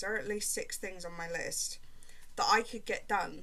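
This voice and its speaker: Speaking with a British accent, a woman moves at a fairly quick pace. Audible room echo and noticeable background noise fill the recording. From Britain. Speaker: crochet vlogger. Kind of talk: casual vlog chat while crafting. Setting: at home, upstairs room. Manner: casual, rambling with many fillers.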